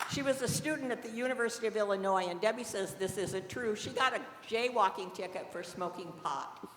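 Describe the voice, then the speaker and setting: An American accent at a fairly quick pace with ordinary pitch variation, over noticeable background noise. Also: woman, fairly high pitch for a woman. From US Midwest (southern Indiana). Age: 70s. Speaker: cannabis dispensary nurse. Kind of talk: storytelling talk to an audience.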